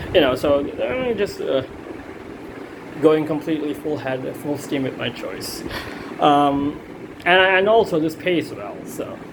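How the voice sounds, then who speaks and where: A man with a non-native accent speaks fairly high at a moderate pace, his intonation lively. The room echo is audible, and there is noticeable background noise. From India. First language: not English. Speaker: student. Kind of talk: self-assessment monologue. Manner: halting, many fillers.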